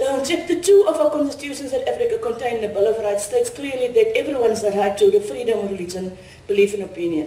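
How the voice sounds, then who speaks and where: With audible room echo, a woman speaks at a high pitch and a fairly quick pace, her pitch swinging very widely. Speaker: conference speaker. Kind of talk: lecture. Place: hall. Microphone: podium.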